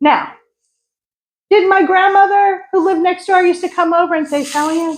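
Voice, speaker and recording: In a New York accent, a woman talks at a moderate pace with an animated tone. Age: 60s. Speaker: psychic medium and energy healer. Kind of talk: spiritual talk to an audience.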